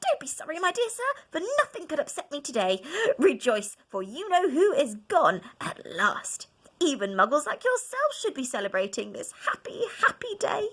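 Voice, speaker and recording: A woman does a squeaky, put-on character voice at an extremely high pitch. Her pitch swings very widely at a moderate pace. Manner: joyful, gushing.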